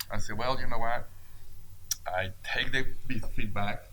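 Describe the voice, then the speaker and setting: A fairly low-pitched man with a Mexican accent, a fairly quick pace, and audible room echo. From Mexico. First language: Spanish. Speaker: business owner. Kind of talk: interview.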